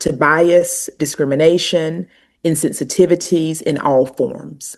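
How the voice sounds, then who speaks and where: A woman speaks at a fairly slow pace in a fairly low pitch. She has a strong Southern US accent. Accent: pronounced Southern US. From US South, North Carolina. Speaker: university administrator and language educator. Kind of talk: podcast interview.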